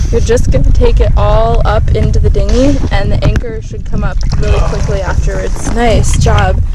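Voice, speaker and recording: A woman talks at a moderate pace, her voice carrying audible room echo and noticeable background noise. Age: 20s. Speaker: solo sailor and video blogger. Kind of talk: mock tutorial; casual vlog narration. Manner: playful, tongue-in-cheek.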